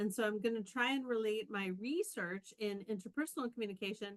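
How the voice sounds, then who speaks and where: A woman speaks in a normal speaking voice, fairly high in pitch with ordinary pitch variation. The sound is dry and close, with no echo. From Canada. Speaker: professor. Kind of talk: conference talk.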